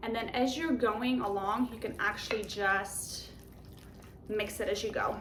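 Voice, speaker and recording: A woman with a Polish accent speaks at a fairly slow pace in a fairly high voice, her intonation fairly even. Audible room echo and noticeable background noise are present. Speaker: home cook, cooking channel host. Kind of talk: cooking tutorial. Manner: casual, conversational.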